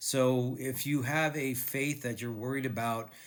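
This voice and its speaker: A man talks at a fairly slow pace and a medium pitch. His intonation is fairly even, and audible room echo is present. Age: 60s. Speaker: video blogger and author, cancer survivor. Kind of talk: casual talk to camera.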